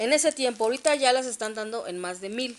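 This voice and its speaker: A woman speaks with a Mexican accent and ordinary pitch variation. Light background noise is present. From Mexico. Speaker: collector vlogger. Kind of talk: casual unboxing vlog. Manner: animated. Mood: cheerful, enthusiastic. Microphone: phone near.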